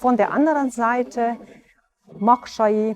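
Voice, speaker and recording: A woman's fairly high voice with a Hungarian accent, lively intonation and a fairly slow pace. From Transylvania, Romania (Hungarian-speaking). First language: Hungarian (speaking German). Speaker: orchestra violinist. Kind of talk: personal interview monologue. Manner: hesitant with filler sounds.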